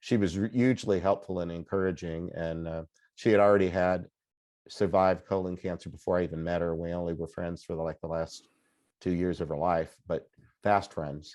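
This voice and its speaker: Against a quiet background, a man with a very deep, low pitch speaks at a fairly quick pace with fairly even intonation. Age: 60s. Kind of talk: interview conversation. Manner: hesitant, many fillers and restarts.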